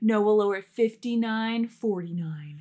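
A woman's put-on character voice at a fairly high pitch. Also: ordinary pitch variation. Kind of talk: salesy. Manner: hard-sell, jokey. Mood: relaxed, playful.

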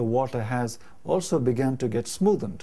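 A man's dark, mellow tone comes through at a fairly slow pace. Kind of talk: explanatory talk to camera. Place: home room. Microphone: lapel.

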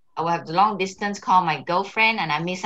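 A woman's fairly low voice with a Singaporean accent and a bright, sharp tone. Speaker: co-host, Singaporean migrant mother. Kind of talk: casual chat. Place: home room.

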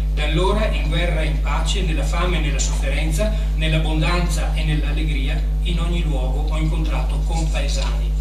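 A man speaks at a fairly quick pace. There is audible room echo and loud background noise. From Asiago plateau, Veneto, Italy. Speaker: writer and speaker on Rigoni Stern. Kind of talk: conference lecture. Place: hall.

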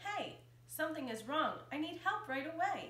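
A woman's voice comes through with audible room echo and light background noise. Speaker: elementary school teacher. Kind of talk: children's picture book read-aloud. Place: home room.

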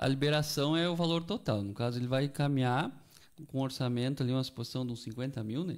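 With an unremarkable speaking voice, a man talks fairly quickly at a medium pitch with ordinary pitch variation. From Canguçu, Rio Grande do Sul, Brazil. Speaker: agricultural credit officer. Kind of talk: radio interview.

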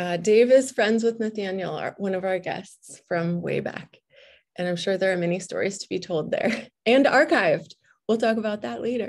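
Against a quiet background, the speaker moves at a moderate pace with lively intonation. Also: woman, medium pitch for a woman. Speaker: librarian and event moderator. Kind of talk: moderating an online panel event. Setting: video call. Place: home room. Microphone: video call.

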